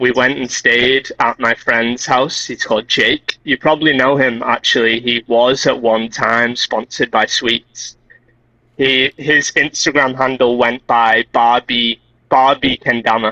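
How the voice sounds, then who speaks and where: The speaker has a Liverpool accent and a bright, sharp tone, delivered at a fairly slow pace. Intonation is monotone and flat, and the sound is dry and close with no echo. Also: man, medium pitch for a man, very even loudness. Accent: Liverpool (Scouse) English. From Liverpool, England. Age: 20s. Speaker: kendama player. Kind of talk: casual interview.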